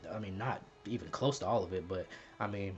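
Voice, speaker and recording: This is a man speaking. He has a slight Southern US accent. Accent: little Southern accent, speaks proper. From US South, Mississippi. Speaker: YouTuber. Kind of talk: personal vlog, confessional talk. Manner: soft-spoken; quiet, not loud off camera.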